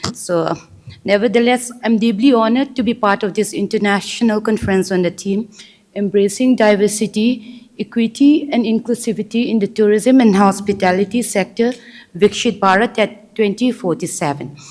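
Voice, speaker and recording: Over noticeable background noise, a woman with a fairly high pitch speaks with ordinary pitch variation. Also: moderate pace. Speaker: government tourism official. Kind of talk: formal speech. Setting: conference hall with audience. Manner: formal.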